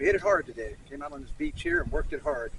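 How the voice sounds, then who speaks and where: An American-accented man talks at a very fast pace. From Florida. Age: 50s. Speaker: outdoor vlogger. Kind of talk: casual vlog narration. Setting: outdoors on a beach.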